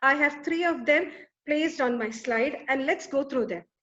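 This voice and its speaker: Raised and projected, a woman's high voice has a bright, sharp tone and lively intonation at a moderate pace. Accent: Keralan. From Kerala, India. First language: Malayalam. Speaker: academic conference presenter. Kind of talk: conference presentation. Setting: webinar.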